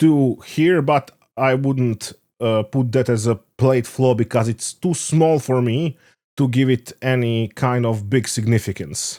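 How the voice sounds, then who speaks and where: A man with a non-native accent and a dark, mellow tone speaks at a fairly slow pace with ordinary pitch variation, in a dry, close sound without echo. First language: not English. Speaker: stamp collector video maker. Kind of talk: tutorial. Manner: halting, many fillers.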